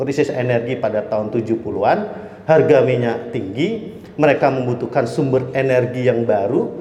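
At a fairly slow pace and medium pitch, a man speaks with audible room echo and noticeable background noise. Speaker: energy expert speaker. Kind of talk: lecture. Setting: restaurant event with audience.

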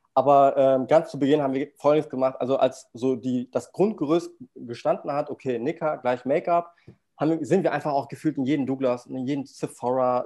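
With a dark, mellow tone, the man talks in a fairly high register. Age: 20s. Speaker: startup founder. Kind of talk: interview.

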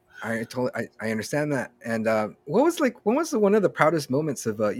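Dry, close sound with no echo carries a man's plain, everyday voice. His intonation is lively and his pace fairly quick. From Southern California, Norwalk. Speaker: podcast host. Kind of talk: casual interview.

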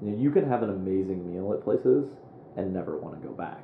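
In a Midwestern American accent, a man with a fairly low pitch talks at a fairly quick pace with ordinary pitch variation, with audible room echo around him. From US Midwest, Quad Cities (Moline, Illinois). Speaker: app startup founder. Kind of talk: interview conversation.

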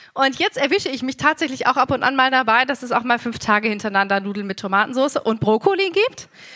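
A woman talks very fast with hardly any pauses in a raised, projected voice. Her pitch is high and her intonation lively. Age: 30s. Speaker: preacher. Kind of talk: sermon.

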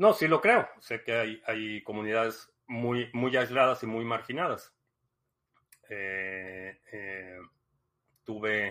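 Very slowly and with long, frequent pauses, a man speaks at a medium pitch in a bright, sharp tone, with ordinary pitch variation and big swings in loudness. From Mexico. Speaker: livestream host. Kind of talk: casual livestream talk. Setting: live stream.

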